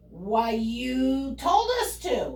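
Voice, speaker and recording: Using a put-on character voice, a woman talks at a high pitch. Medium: read story.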